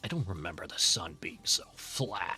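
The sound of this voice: Moderate pace in a put-on character voice. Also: man.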